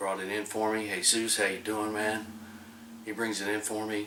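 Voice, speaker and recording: Over noticeable background noise and audible room echo, a man talks with an American accent. His pitch is fairly low and his pace fairly quick. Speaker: BBQ cooking video host. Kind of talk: casual cooking tutorial. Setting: outdoors at the smoker pit. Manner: quiet, trying not to wake wife.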